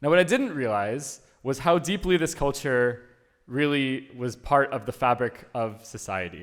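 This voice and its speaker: Using a normal speaking voice, a man with an American accent talks at a moderate pace and medium pitch with lively intonation. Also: very clean recording, silent background. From US (born in Uruguay). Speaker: conference speaker. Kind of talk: conference talk.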